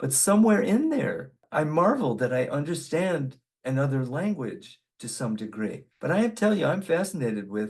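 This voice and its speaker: A man's fairly high voice with very wide pitch swings and hardly any pauses. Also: moderate pace. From Austria until age five, then English-speaking. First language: German. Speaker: video blogger. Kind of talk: casual monologue.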